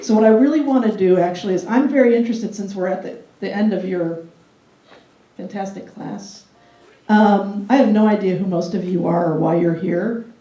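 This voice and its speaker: Echo from the room can be heard. The tempo is fairly fast. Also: woman, ordinary pitch variation. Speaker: city government food policy official. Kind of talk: guest lecture. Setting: classroom with live audience. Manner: conversational, with frequent fillers.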